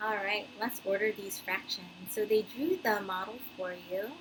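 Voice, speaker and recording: A woman with a normal speaking voice, fairly high in pitch with ordinary variation, at a fairly slow pace. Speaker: elementary school teacher. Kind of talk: recorded math lesson for pupils.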